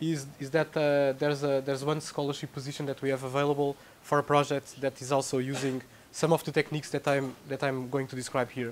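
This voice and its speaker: A Portuguese accent over light background noise. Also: man. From Portugal. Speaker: researcher giving a tutorial. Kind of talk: lecture. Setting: lecture room with audience. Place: classroom.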